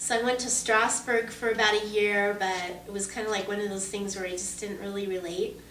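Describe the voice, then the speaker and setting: Audible room echo surrounds a woman of medium pitch talking at a fairly quick pace. Her intonation is monotone and flat, with hardly any pauses. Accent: American. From Southern California, Orange County. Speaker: voice actress. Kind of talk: interview. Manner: casual, conversational.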